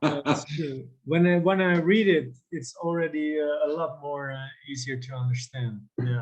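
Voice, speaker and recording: Speaking at a moderate pace with hardly any pauses, a man with a fairly high pitch sounds somewhat breathy, showing ordinary pitch variation and big swings in loudness. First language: Dutch. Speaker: interviewer. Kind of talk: interview.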